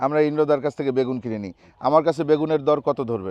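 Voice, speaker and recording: The voice has ordinary pitch variation in a dry, close sound with no echo. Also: man. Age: 30s. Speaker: travel and food vlogger. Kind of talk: casual vlog chat. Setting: outdoors in a vegetable field.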